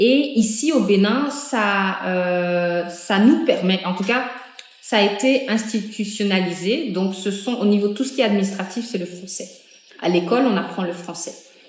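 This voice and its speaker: Speaking at a fairly slow pace, a woman has a medium pitch. Audible room echo and noticeable background noise surround her voice. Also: ordinary pitch variation. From Benin, Cotonou area. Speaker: interviewee. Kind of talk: interview. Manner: hesitant, many fillers.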